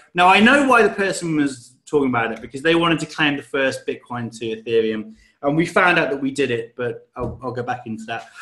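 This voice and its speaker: A man with a British accent speaks at a fairly high pitch in a bright, sharp tone. His intonation is lively, with hardly any pauses. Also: fairly quick pace. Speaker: crypto project team member. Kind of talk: interview. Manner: casual.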